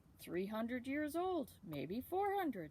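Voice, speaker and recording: In a put-on character voice, a woman speaks high-pitched at a fairly slow pace with very wide pitch swings, over clear background noise. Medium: read story.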